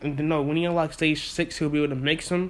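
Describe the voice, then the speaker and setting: This man's voice sits at a fairly high pitch and keeps a monotone, flat intonation. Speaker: YouTuber telling fan-fiction story. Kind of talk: casual improvised storytelling. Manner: halting, self-described stuttering.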